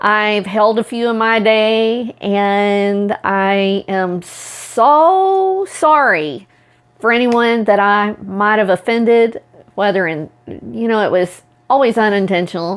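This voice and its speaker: At a very slow pace, a speaker with an American accent uses ordinary pitch variation. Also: woman, fairly high pitch for a woman. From Oklahoma. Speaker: self-empowerment coach, video blogger. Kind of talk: personal talk to camera.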